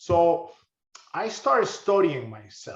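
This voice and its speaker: A man with a high pitch speaks with a Spanish accent. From Honduras. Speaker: crypto investor. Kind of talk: interview. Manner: halting, many fillers and repeats.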